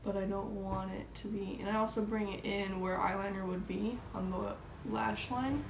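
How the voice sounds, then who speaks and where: A woman is speaking in a room with audible echo. Noticeable background noise is present. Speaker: beauty vlogger. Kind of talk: tutorial.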